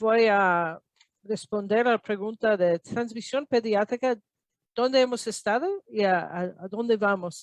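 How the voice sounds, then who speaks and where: Very slowly and at a fairly high pitch, a woman speaks with an American accent in a dry, close sound with no echo. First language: English (speaking Spanish). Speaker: epidemiologist. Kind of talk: lecture. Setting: video call. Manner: halting.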